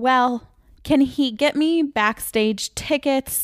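Heard in a dry, close sound with no echo on a very clean recording with a silent background, a woman with a Michigan accent speaks at a very slow pace with ordinary pitch variation. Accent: northern US (Michigan). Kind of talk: casual chat.

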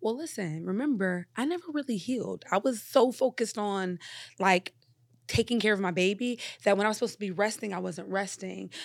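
A woman speaks at a fairly quick pace in a plain, everyday voice of medium pitch with ordinary pitch variation, on a very clean recording with a silent background. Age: 40s. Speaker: mother sharing birth story. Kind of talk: casual interview conversation.

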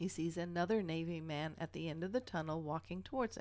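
In a plain, everyday voice, the speaker keeps a moderate pace and ordinary pitch variation. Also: woman. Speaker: podcast co-host. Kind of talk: casual chat with paranormal storytelling.

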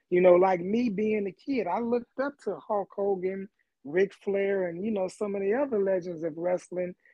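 A man speaks with a high pitch at a moderate pace. His pitch varies in an ordinary way. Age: 50s. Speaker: former football player and wrestling fan. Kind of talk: casual chat. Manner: laid-back.

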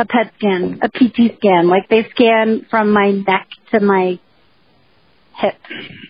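In an American accent, a woman speaks very slowly with long, frequent pauses, her medium-pitched voice somewhat breathy and her intonation fairly even. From New Jersey. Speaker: podcast co-host. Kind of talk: casual chat.

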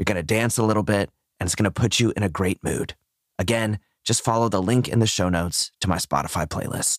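An unremarkable speaking voice from a man, fairly low in pitch and fairly quick, dry and close with no echo on a very clean recording with a silent background. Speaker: meditation podcast host. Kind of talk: guided meditation. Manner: gentle, encouraging.

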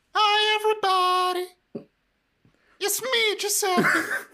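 This put-on character voice is squeaky and extremely high, delivered at a fairly slow pace.

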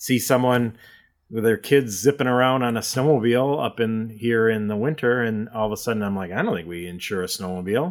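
A plain, everyday voice moves at a fairly quick pace on a very clean recording with a silent background. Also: man. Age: 40s. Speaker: insurance agency owner. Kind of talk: casual interview.

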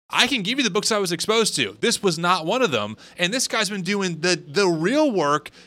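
In an American accent, a man with a high pitch and a bright, sharp tone speaks in a raised, projected voice at a moderate pace, his pitch swinging very widely. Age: 30s. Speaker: podcast host. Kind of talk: casual interview conversation.

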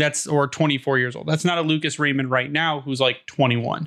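With an American accent, a man talks at a fairly quick pace in an ordinary speaking voice, fairly high in pitch with ordinary pitch variation, against a quiet background. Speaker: hockey podcast host. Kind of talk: casual chat. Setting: video call.

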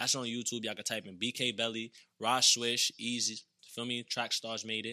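In a very clean recording with a silent background, a man with an American accent speaks at a medium pitch in a bright, sharp, energetic tone. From Brooklyn, New York. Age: 20s. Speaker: comedian and social media influencer. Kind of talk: casual interview chat. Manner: fast talker, energetic.

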